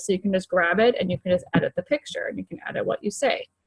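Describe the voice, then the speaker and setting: Speaking at a very fast pace, a woman sounds somewhat breathy. The sound is dry and close, with no echo. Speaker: fitness coach team leader. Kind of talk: screen-share tutorial. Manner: casual, filler-heavy.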